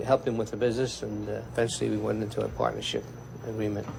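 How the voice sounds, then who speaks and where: A man speaks at a medium pitch. He talks at a very fast pace. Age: 60s. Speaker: butcher shop owner. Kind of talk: documentary interview.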